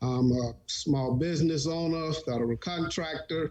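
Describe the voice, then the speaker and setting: Somewhat breathy, a man with a Louisiana accent speaks at a fairly slow pace with ordinary pitch variation. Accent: US South, Louisiana. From US South, Monroe, Louisiana. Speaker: small business owner. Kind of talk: panel discussion. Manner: halting.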